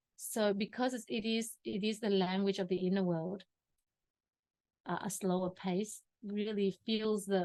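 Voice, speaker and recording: Speaking fairly slowly, a woman keeps her intonation fairly even. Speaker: personal growth teacher. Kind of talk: workshop teaching session. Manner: halting.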